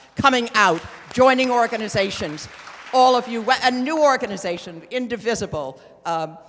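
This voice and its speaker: At a moderate pace, the speech carries audible room echo with crowd noise in the background. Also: woman, fairly high pitch for a woman, lively intonation. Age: 70s. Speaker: activist and organizer. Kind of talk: onstage Q&A remarks. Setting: stage with audience in a theatre.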